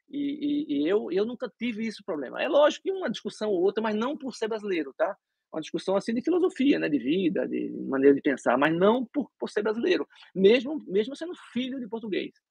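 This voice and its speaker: His pitch is high and swings very widely. The man speaks at a fairly quick pace. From Brazil (Recife). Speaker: dentist. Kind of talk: interview. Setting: live stream.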